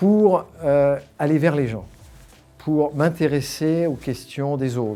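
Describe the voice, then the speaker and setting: A man with a dark, mellow tone and fairly high pitch talks at a very slow pace, with ordinary pitch variation and long, frequent pauses. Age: 60s. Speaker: alumni association volunteer leader, former company executive. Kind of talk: interview. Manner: hesitant, many fillers and repetitions.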